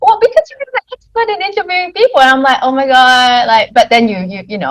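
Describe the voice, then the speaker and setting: Heard in a dry, close sound with no echo, a woman with a slight Australian accent makes very wide pitch swings. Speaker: podcast host. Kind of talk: interview.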